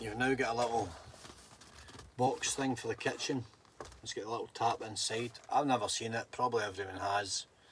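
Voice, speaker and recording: A man speaks in a Scottish accent at a medium pitch. His pace is moderate and his intonation fairly even. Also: long, frequent pauses. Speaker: livestreamer. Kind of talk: casual livestream chat.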